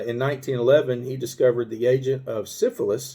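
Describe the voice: A man talks fairly quickly with an Arkansas accent. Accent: Southern American (Arkansas).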